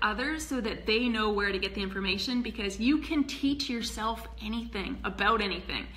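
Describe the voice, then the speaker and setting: Noticeable background noise and audible room echo surround a woman talking at a moderate pace. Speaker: health educator and emergency department worker. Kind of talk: casual tutorial livestream. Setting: live video stream. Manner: hesitant, many fillers.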